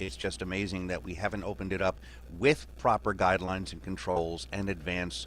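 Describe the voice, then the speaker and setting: A man's very deep, low voice with vocal fry, in a very clean recording against a silent background. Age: 60s. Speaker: journalist panelist. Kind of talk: radio roundtable discussion.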